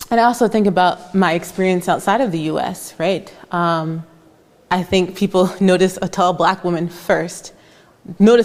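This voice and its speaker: An unremarkable speaking voice, this woman talks in an American accent at medium pitch and a moderate pace. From United States. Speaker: moderator, student affairs administrator. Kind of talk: panel conversation. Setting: art gallery with audience.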